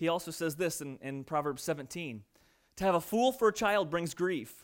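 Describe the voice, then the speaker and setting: Very clean audio of a man against a silent background. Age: 30s. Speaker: pastor. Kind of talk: sermon. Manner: animated.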